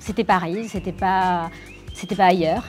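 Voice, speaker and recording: With music in the background, a woman speaks fairly slowly at medium pitch in a bubbly tone. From Naples, Italy. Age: 30s. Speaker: actress. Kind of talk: interview answer.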